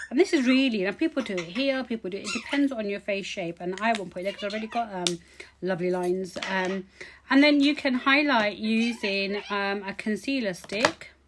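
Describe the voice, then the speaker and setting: Noticeable background noise surrounds a woman with a medium pitch. She talks at a fairly quick pace with lively intonation. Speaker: beauty vlogger. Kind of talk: tutorial. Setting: home. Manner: fast.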